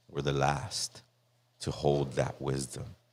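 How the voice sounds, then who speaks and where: A man's voice with vocal fry and an American accent, on a very clean recording with a silent background. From East Los Angeles. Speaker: podcast guest. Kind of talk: casual chat.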